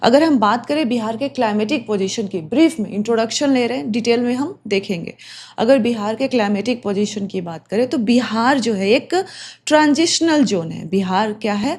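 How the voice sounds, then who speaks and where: Lively intonation and a somewhat breathy voice come through on a very clean recording with a silent background. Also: woman, fairly high pitch for a woman. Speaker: exam coaching teacher. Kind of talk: lecture. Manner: code-switching Hindi and English.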